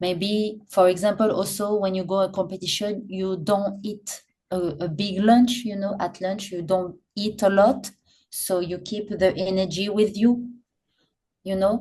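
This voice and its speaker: Somewhat breathy, with a dark, mellow tone, a woman speaks fairly slowly at a medium pitch in a monotone, flat intonation. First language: not English. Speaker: professional popping dancer. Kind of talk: podcast interview. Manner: halting, many repetitions and fillers.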